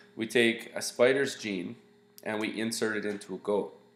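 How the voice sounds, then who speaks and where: Against audible room echo, a man talks at a moderate pace with a fairly low pitch. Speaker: science teacher. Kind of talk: lecture. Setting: screencast. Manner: casual, halting.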